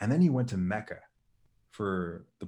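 The recording is very clean, with a silent background. In it, a man talks at a fairly quick pace. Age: 20s. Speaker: motivational speaker and spoken word poet. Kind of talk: casual chat.

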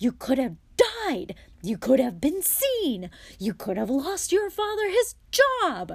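In a put-on character voice, a woman shouts at a slow pace. Her pitch is high and swings very widely.

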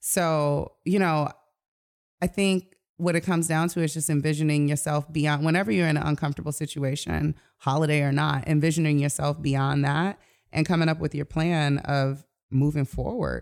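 A woman with an American accent speaks at a moderate pace in a very deep, low pitch, with fairly even intonation and very even loudness. The recording is very clean, with a silent background. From Detroit, US. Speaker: life coach. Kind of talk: casual interview.

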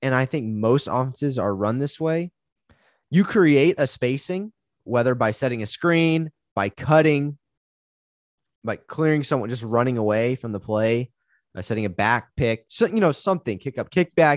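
A plain, everyday voice from a man of medium pitch, with lively intonation at a moderate pace against a quiet background. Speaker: high school basketball coach. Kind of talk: casual Q&A conversation.

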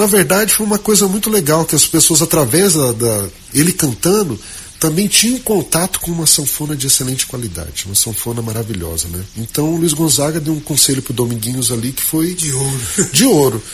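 A man speaks at a fairly quick pace with a fairly high pitch. His pitch swings very widely, and there is noticeable background noise. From Mato Grosso do Sul Pantanal, Aquidauana. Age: 40s. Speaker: accordionist. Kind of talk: interview.

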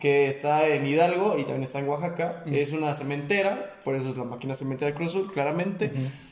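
Talking at a very fast pace with hardly any pauses, a man uses a fairly high pitch and ordinary pitch variation against noticeable background noise. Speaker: sports podcast co-host. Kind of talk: casual chat.

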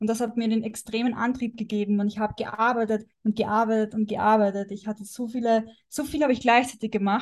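A woman speaks at a fairly high pitch with a somewhat breathy quality. Her delivery is fairly quick, monotone and flat, with hardly any pauses. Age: 20s. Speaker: wellness coach. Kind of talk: casual chat.

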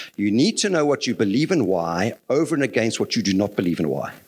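In a very clean recording with a silent background, a man speaks at a very fast pace. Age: 60s. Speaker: lay preacher. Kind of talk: sermon.

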